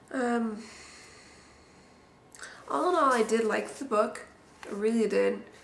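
Noticeable background noise under a woman speaking at a fairly high pitch. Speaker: book reviewer. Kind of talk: casual talk to camera. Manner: hesitant, many filler words.

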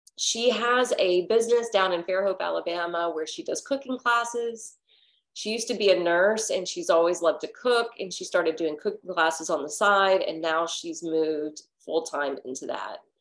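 A woman speaks at a moderate pace with lively intonation against a quiet background. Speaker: yoga teacher. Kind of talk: casual class introduction story. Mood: warm and cheerful. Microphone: webcam.

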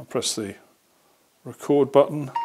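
The speaker is a man. Little can be heard behind him. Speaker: hobbyist reviewer. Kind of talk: tutorial. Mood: relaxed, amused. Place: workshop.

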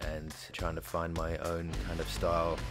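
A man speaks at a fairly slow pace in a very deep, low voice, with music playing in the background. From France. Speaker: bootmaker. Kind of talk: interview answer.

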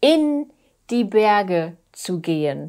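Against a quiet background, a woman speaks with a fairly high pitch and a dark, mellow tone. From Germany. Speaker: language teacher. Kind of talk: tutorial. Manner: slow; repetitive. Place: home room. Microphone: lapel.

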